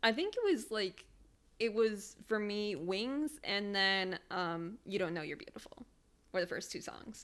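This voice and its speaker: In an American accent, a woman with an unremarkable speaking voice talks fairly slowly at medium pitch. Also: lively intonation. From Michigan. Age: 20s. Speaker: podcast co-host. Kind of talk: casual chat.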